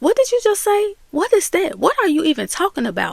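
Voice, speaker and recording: Recorded with a dry, close sound and no echo, a woman with an American accent speaks with very wide pitch swings. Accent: Southern US accent noted by others. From US South (Memphis / Mississippi). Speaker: YouTube commentator. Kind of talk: casual commentary recap.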